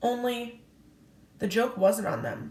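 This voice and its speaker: A woman does a put-on character voice that is raspy and fairly high-pitched. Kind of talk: classroom read-aloud. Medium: read story.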